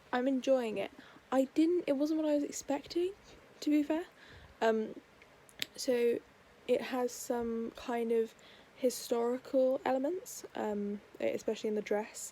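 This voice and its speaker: A woman with an English accent speaks at a fairly slow pace and a high pitch. Her pitch varies in an ordinary way, and she takes long, frequent pauses. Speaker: book vlogger. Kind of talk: casual vlog.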